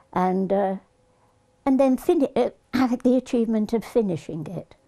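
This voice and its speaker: A woman with a medium pitch talks at a fairly slow pace, her tone dark and mellow with vocal fry. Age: 80s+. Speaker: elderly video gamer. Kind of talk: casual interview.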